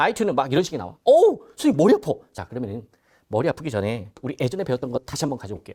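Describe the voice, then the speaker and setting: A man speaks in an animated tone with vocal fry. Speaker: exam prep instructor. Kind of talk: lecture. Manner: loud.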